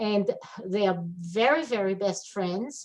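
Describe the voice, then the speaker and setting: A woman's medium-pitched voice with an Israeli accent, at a very slow pace. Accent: Israeli Hebrew. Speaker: webinar attendee asking a question. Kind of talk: audience comment in webinar.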